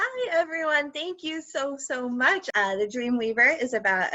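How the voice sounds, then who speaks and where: A woman with a normal speaking voice at a fairly slow pace, with ordinary pitch variation. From US, Cuban-American family. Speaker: debut children's author. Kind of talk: book launch talk and reading aloud.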